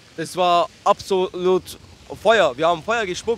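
At a fairly slow pace, a man speaks with ordinary pitch variation in a dry, close recording with no echo. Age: 20s. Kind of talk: casual street chat.

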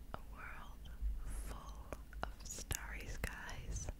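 The speaker is a woman. Loud background noise fills the recording. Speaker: ASMR creator. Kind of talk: ASMR whisper for sleep. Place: home room. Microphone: studio mic.

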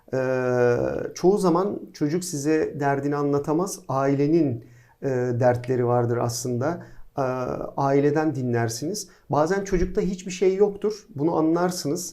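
Here a man speaks at a fairly slow pace with a fairly high pitch. His tone is dark and mellow, and there is audible room echo. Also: ordinary pitch variation. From Izmir, Turkey. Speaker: pediatric orthopedic surgeon, professor. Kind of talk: casual interview.

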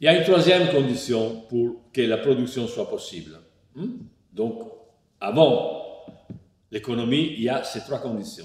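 A man with an Italian accent at a fairly slow pace, with long, frequent pauses, big swings in loudness and audible room echo. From Italy. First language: Italian (speaking French). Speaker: philosopher; philosopher lecturer. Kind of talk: lecture partly read from a text. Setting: online lecture. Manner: hesitant, many fillers (euh, hein). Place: home room.

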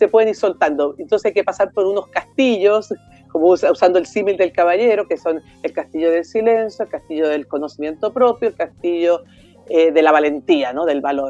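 Over faint music in the background, a woman with a dark, mellow tone talks at a fairly quick pace with ordinary pitch variation.

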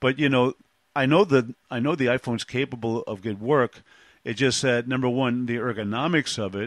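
A man with a New York accent speaks at a moderate pace in a medium pitch, with ordinary pitch variation and a dry, close sound with no echo over a quiet background. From Brooklyn, New York. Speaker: podcast host. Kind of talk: casual interview. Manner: halting, with many fillers.

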